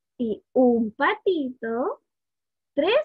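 Her high voice swings very widely in pitch, and the woman's tone is warm and playful in a dry sound with no echo over a quiet background. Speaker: early childhood education student; student storyteller. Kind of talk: children's storytelling, picture-book read-aloud. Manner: warm, playful, engaging, asking the children questions. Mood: warm, playful storytelling. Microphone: webcam.

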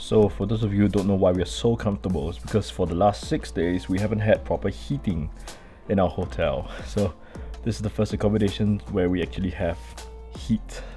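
Faint music plays in the background. A man with a very deep, low pitch speaks fairly quickly. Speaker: travel vlogger. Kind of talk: casual vlog chat. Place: home room. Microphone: phone near.

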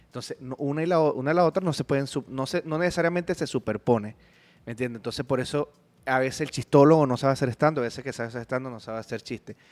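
At a very fast pace, a man speaks with a Venezuelan accent and ordinary pitch variation. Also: medium pitch for a man. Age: 30s. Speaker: comedian. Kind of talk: casual chat. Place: studio. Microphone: studio mic.

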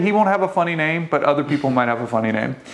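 A man speaks with a Southern US accent. His pace is very fast and his intonation lively. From Louisiana. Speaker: podcast host in the pipeline industry. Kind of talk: casual chat. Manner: fast talker; joking. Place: office. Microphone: lapel.

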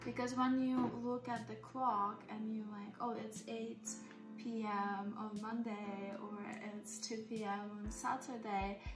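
Over clear background music, a woman talks at a very slow pace with a medium pitch and ordinary pitch variation. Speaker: spiritual energy healer and hypnotherapist. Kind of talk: casual soft-spoken ASMR dialogue about time and femininity. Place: home room. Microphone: phone near.

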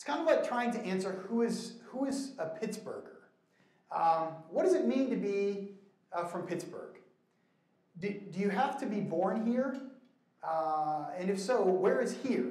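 With lively intonation, a man speaks at a high pitch and a moderate pace. Long, frequent pauses break up his speech, and audible room echo surrounds it. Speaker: church minister teaching a class. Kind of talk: lecture. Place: hall.

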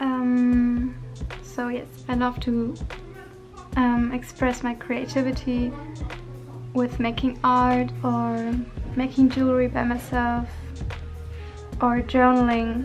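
Clear music plays in the background as a woman speaks at a very slow pace with long, frequent pauses. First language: not English. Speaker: vlogger. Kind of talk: casual talk to camera. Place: home room. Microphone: phone near.

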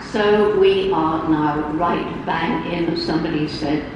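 Over noticeable background noise and strong room echo, a woman with a very deep, low pitch speaks fairly slowly, her intonation fairly even. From England. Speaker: primatologist and environmental activist. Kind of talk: keynote speech. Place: hall. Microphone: pa.

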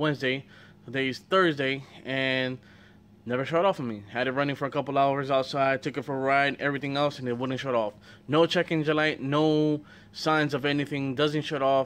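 A man speaks at a fairly quick pace with fairly even intonation. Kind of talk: casual vlog chat. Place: garage. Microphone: phone near.

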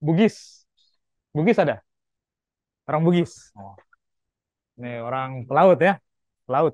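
A man's fairly high voice at a fairly slow pace, with lively intonation, big swings in loudness and long, frequent pauses, in a dry recording with no echo and a quiet background. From Lombok, Indonesia. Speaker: university lecturer. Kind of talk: lecture. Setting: classroom. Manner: animated. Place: classroom.

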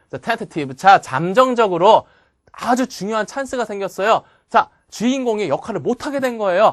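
The tone is animated and the pace fairly quick. The background is quiet. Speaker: memorization course instructor. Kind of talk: lecture.

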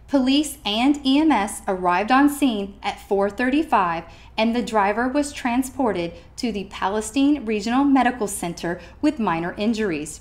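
Speaking fairly slowly in an ordinary speaking voice, a woman with a fairly high pitch uses lively intonation. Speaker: student newscaster. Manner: formal, measured and steady, with crisp, even delivery.

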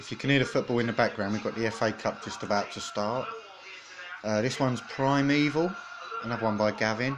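Against noticeable background noise, the man talks with ordinary pitch variation. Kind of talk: casual unboxing commentary. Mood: amused, slightly apprehensive. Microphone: phone near.

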